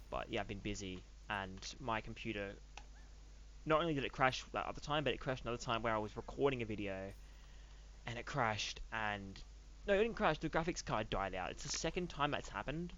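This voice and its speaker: Quiet and very fast, a man talks with an Australian accent. He leaves long, frequent pauses. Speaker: gaming youtuber. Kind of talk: casual gameplay commentary.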